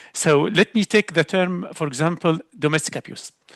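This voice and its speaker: This man has an Arabic accent and a fairly high pitch, speaking at a moderate pace. The sound is dry and close with no echo, and the background is quiet. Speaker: learning specialist, applied linguist. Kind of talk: panel discussion on a webinar. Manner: hesitant with filler and false starts.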